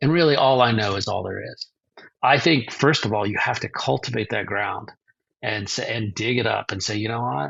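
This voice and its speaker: Vocal fry runs through a man's medium-pitched voice. He speaks at a moderate pace with lively intonation. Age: 60s. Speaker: author and publisher. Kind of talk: interview.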